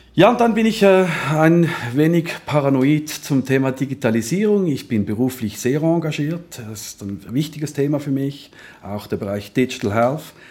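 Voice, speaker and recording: Over noticeable background noise, a man with a fairly high pitch talks at a moderate pace, his intonation lively and his loudness rising and falling sharply. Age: 40s. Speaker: health insurance executive. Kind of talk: interview conversation.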